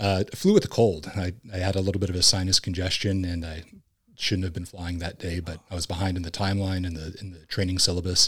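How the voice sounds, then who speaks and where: A man's very deep, low, somewhat breathy voice at a very fast pace, in a monotone, flat intonation, on a very clean recording with a silent background. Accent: American. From Southern California. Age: 40s. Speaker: former Marine and police officer. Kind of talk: casual chat.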